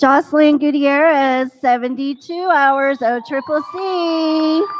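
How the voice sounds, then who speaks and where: At a very slow pace with fairly even intonation, the voice comes through over noticeable background noise. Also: woman, high pitch for a woman. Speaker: school staff presenting graduation awards. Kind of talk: ceremony announcements, reading names.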